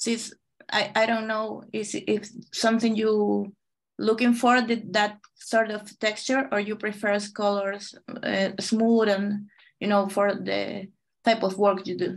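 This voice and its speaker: A woman speaks at a very slow pace with a Chilean accent. Her intonation is monotone and flat against a quiet background. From Chile, Santiago. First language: Spanish. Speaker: watercolor artist and illustrator; guest. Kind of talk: live painting demonstration. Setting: video call. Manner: halting, many fillers. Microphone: video call.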